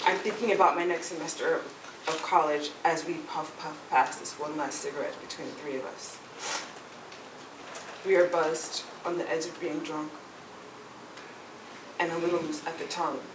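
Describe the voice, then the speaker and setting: A woman with an American accent and a fairly low pitch at a moderate pace, with fairly even intonation, big swings in loudness, and long, frequent pauses, over noticeable background noise. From New York. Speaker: burlesque performer and storyteller. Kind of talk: personal storytelling performance.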